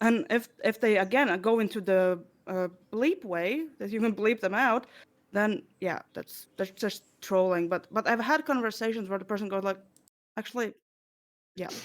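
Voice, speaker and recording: A woman with a non-native accent at a moderate pace, fairly high-pitched with ordinary pitch variation, in a very clean recording with a silent background. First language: not English. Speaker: streamer. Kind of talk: panel discussion. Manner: halting.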